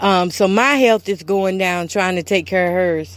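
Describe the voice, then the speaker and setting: A woman's ordinary speaking voice, medium in pitch, fairly slow, with fairly even intonation. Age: 40s. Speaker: podcast host. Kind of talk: personal testimony. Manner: emotional, repetitive.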